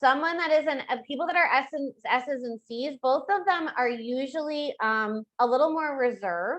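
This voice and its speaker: A woman's high-pitched voice with lively intonation, in a dry, close sound with no echo. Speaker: real estate trainer. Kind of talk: training webinar. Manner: fast; high energy.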